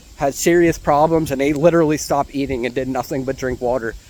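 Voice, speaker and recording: A man with a fairly high pitch and ordinary pitch variation talks fairly quickly amid noticeable background noise. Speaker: fitness vlogger. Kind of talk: casual walking vlog. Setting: outdoors, walking. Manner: halting, stumbling; casual, filler-heavy.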